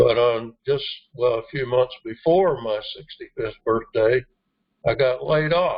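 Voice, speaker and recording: Fairly slow, somewhat breathy speech from a man at a medium pitch, with ordinary pitch variation. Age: 70s. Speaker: network marketing team trainer. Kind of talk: motivational team training talk. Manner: hesitant, many fillers.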